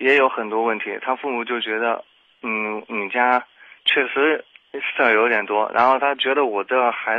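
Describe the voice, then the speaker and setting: Monotone, flat intonation marks this man's medium-pitched voice. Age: 20s. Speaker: caller to advice radio show. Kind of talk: personal story on call-in advice show. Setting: phone call. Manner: halting, many fillers.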